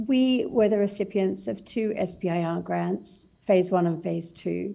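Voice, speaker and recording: A woman with an Australian accent at a fairly slow pace. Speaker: startup founder. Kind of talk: panel discussion.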